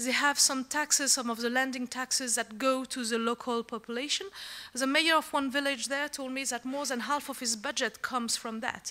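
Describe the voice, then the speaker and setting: A woman with a French accent speaks in a raised, projected voice at a moderate pace, her tone bright and sharp, her pitch high and her intonation fairly even. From France. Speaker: secretary general of an organization. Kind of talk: conference speech. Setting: conference with audience.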